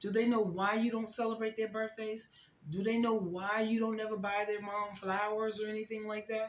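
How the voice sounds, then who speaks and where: A woman with a fairly high pitch speaks at a moderate pace in an animated tone. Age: 60s. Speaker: YouTube reaction commentator. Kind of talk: reaction commentary monologue.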